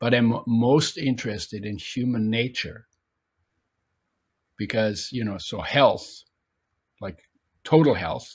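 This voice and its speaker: A somewhat breathy man speaks at a very slow pace, with long, frequent pauses. His medium pitch shows ordinary variation, while his loudness swings widely. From Germany. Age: 80s+. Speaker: author and nutrition expert. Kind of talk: interview. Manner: halting.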